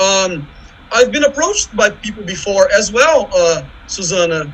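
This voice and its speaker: Over noticeable background noise, a man with a Brazilian accent talks at a fairly slow pace in a high voice with lively intonation. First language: Portuguese. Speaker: visual artist and academic. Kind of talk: panel discussion. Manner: halting.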